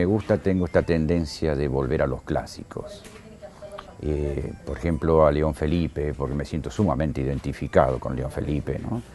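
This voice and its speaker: A man's very deep, low-pitched voice with music in the background. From Argentina, Buenos Aires then Córdoba from age 14. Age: 60s. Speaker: writer and radio presenter. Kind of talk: interview.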